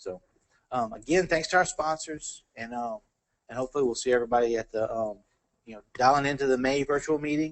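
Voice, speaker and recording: His pitch shifts in an ordinary way, and his pace is very fast. The man speaks with an American accent. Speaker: engineer and technical presenter. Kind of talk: technical talk Q&A and closing remarks. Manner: halting, many fillers and repeats.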